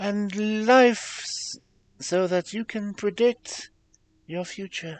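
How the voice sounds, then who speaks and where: Using a put-on character voice, a man speaks at a very slow pace and high pitch, with big swings in loudness. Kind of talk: guided introspection narration. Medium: virtual streamer. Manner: measured, reassuring.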